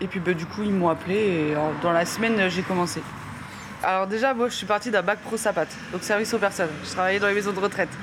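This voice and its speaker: Over noticeable background noise, a woman talks at a very fast pace. Her voice sits at a medium pitch with fairly even intonation. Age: 20s. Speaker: garbage truck driver. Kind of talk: interview testimony. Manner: casual, halting.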